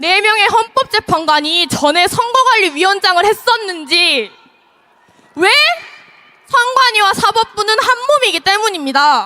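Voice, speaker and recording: Her voice raised and projected, a woman speaks at a fairly slow pace with an extremely high pitch, very wide pitch swings and very even loudness. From Gyeonggi Province, South Korea. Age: 20s. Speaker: rally speaker. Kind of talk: political rally speech. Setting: outdoors.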